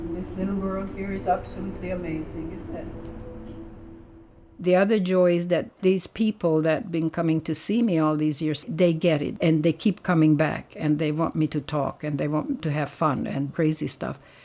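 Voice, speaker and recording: A woman with a fairly low pitch at a moderate pace, with ordinary pitch variation and music in the background. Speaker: yoga teacher. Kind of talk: yoga class talk and interview. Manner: talkative, chatty.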